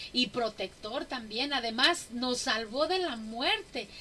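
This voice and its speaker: Over noticeable background noise, a woman with a high pitch speaks in a raised, projected voice, her intonation lively and her pace fairly slow. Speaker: women's Bible study teacher. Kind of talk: Bible study teaching.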